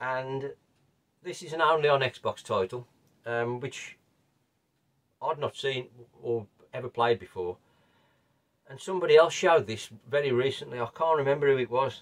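A man speaks at a moderate pace with ordinary pitch variation, big swings in loudness, and long, frequent pauses against a quiet background. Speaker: retro gaming channel host. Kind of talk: casual vlog chat. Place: home room.

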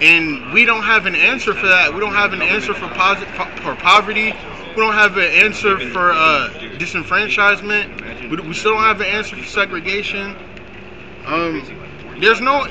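A man speaks in a high voice at a moderate pace, his intonation fairly even. Noticeable background noise sits under him. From New York. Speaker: protest participant. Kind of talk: street debate. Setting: outdoors. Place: street. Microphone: camera far.

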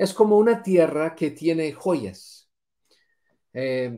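Against a quiet background, the man's intonation is lively. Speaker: Bible teacher; bible teacher. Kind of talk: religious lesson. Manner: halting, many fillers and repetitions. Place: home room. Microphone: video call.

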